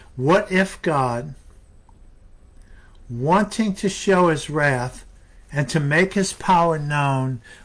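The speaker talks at a slow pace with ordinary pitch variation and long, frequent pauses. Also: man, fairly high pitch for a man.

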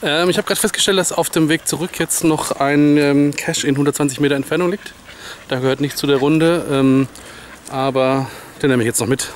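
A man at a moderate pace with ordinary pitch variation, in a dry sound with no echo and light background noise. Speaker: geocacher vlogger. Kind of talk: casual vlog chat. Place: open country. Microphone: phone near.

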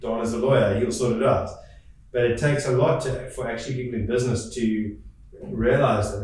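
Strong room echo surrounds a man speaking at a moderate pace, his medium pitch set in a slightly mellow tone with fairly even intonation.

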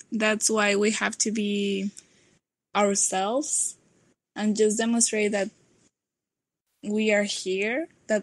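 A woman talks at a medium pitch with a Mexican accent, at a very slow pace. The sound is dry and close, with no echo. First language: Spanish. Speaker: nanotechnology student. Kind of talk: podcast interview answer. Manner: relaxed.

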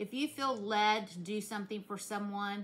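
This woman speaks in a rural Southern US accent, her tone warm yet bright and sharp. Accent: rural Southern US, self-described hillbilly. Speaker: vlogger. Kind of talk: casual vlog chat. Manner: warm, conversational, earnest. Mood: earnest, heartfelt. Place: kitchen. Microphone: phone near.

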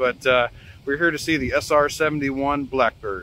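The man's intonation stays fairly even. His voice sounds dry with no echo, over light background noise. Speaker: channel host. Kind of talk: casual vlog chat. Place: street. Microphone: phone near.

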